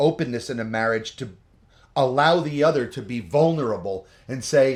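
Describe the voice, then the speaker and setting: A man with a New Jersey accent talks at a moderate pace, his pitch medium. His intonation is lively and his tone animated against a quiet background. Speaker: couples vlogger. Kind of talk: casual advice chat.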